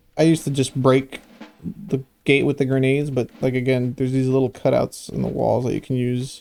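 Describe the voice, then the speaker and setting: Someone speaks at a fairly quick pace with music playing in the background. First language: Spanish. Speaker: gamer doing a playthrough. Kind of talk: gameplay commentary.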